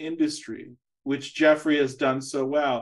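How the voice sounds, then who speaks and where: A man with a fairly high pitch speaks in a monotone, flat intonation over a quiet background. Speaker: university lecturer hosting a talk series. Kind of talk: interview. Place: home room. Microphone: video call.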